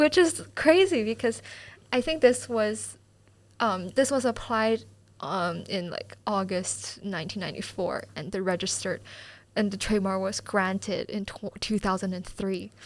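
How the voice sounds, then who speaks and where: With a Mandarin accent, a woman speaks at a moderate pace in a medium pitch, her loudness swinging widely. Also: ordinary pitch variation, very clean recording, silent background. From mainland China, Beijing. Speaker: student podcast host. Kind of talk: recorded aside during editing; casual chat.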